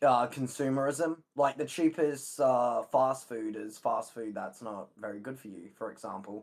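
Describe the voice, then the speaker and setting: A man with an unremarkable speaking voice talks at a fairly slow pace and medium pitch with ordinary pitch variation, big swings in loudness, and hardly any pauses. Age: 20s. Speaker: mover. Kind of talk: heated debate.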